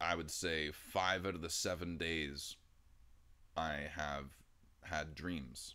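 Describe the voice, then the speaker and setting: A man's very deep, low-pitched voice with vocal fry and fairly even intonation. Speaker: livestreamer. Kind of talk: casual stream chat. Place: home room.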